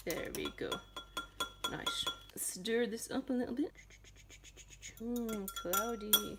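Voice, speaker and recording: Over noticeable background noise, a woman speaks very slowly with long, frequent pauses, her fairly high voice carrying lively intonation. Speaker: home cooking tutorial host. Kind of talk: casual cooking tutorial to camera. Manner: playful, jokey.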